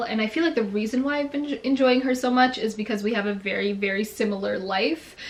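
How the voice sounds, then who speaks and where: A woman with a Canadian accent, fairly high-pitched, at a fairly quick pace with ordinary pitch variation, over noticeable background noise. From Canada (Toronto). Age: 20s. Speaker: beauty and lifestyle YouTuber. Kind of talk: casual Q&A chat. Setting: bedroom.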